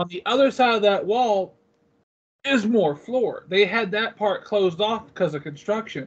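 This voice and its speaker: Over a quiet background, a man speaks in a high voice. His pace is moderate and his pitch variation ordinary. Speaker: comic convention vendor. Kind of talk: casual interview chat. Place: home room. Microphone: video call.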